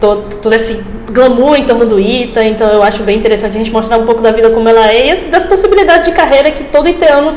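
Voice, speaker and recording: Over noticeable background noise and audible room echo, a woman with a northeastern Brazilian accent talks very fast at a fairly high pitch, with lively intonation and hardly any pauses. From Brazil, Rio Grande do Norte interior (Açu). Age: 20s. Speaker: medical student, engineer. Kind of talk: podcast interview.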